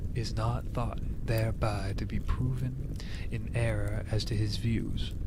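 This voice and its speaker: A man speaks fairly slowly, and noticeable background noise is present. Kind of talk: soft-spoken ASMR book reading. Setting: recorded with ear-to-ear binaural microphone and campfire sound. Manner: soft-spoken, quiet.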